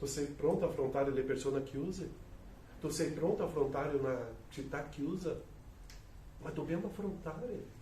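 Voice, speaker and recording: This moderately paced voice has ordinary pitch variation and long, frequent pauses, with audible room echo and noticeable background noise. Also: man, fairly high pitch for a man. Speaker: pastor. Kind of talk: sermon. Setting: church.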